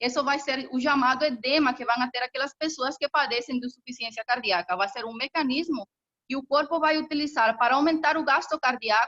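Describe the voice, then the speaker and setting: A woman's high-pitched, bright, sharp voice, raised and projected, with ordinary pitch variation and a dry, close sound with no echo. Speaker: professor. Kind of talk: lecture. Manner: fast.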